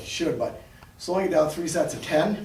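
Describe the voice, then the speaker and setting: A man talks at a fairly quick pace with a high pitch. Noticeable background noise and audible room echo surround his voice. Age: 60s. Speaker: fitness and martial arts instructor. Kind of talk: exercise demonstration tutorial. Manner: casual, halting with fillers.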